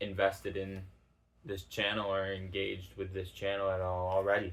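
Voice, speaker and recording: A man mumbles in a fairly low pitch. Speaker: YouTuber starting a channel. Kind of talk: casual monologue to camera. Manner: hesitant, many fillers; mumbled enunciation.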